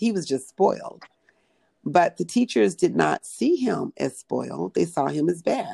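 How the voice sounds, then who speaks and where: A woman with an American accent speaks at a fairly slow pace. The sound is dry and close, with no echo. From Southern California. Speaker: educator. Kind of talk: interview. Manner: halting.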